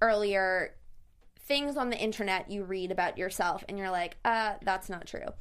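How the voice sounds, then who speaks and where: An animated woman speaks at a medium pitch in a bright, sharp tone. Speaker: podcast host. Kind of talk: casual interview. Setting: studio.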